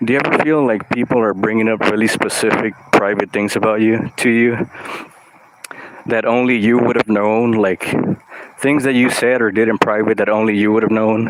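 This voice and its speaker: At a medium pitch, a man speaks at a moderate pace with monotone, flat intonation. His loudness is very even, and noticeable background noise is present. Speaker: artist and vlogger. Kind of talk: casual monologue vlog. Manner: loud, extroverted; halting, lots of fillers.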